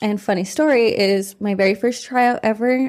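Using a normal speaking voice, a woman talks at a moderate pace with ordinary pitch variation. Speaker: former youth softball player. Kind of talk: casual chat. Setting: studio.

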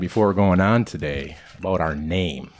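A man has a plain, everyday voice, with a fairly low pitch and lively intonation. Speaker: podcast host. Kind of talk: casual chat.

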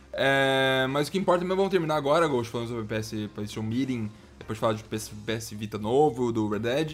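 The man talks at a fairly quick pace. His pitch is medium, with ordinary variation. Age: 20s. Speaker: gaming podcast host. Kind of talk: casual chat. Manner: animated.

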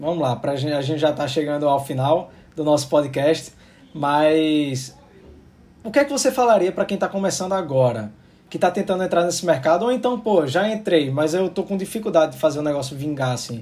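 A man with fairly high pitch, lively intonation and an unremarkable speaking voice. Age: 30s. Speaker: podcast host. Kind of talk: casual chat.

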